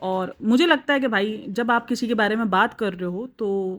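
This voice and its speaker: The recording is very clean, with a silent background. A woman of fairly high pitch talks with ordinary pitch variation in an unremarkable speaking voice. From Pakistan. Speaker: YouTube reaction vlogger. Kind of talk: casual vlog commentary.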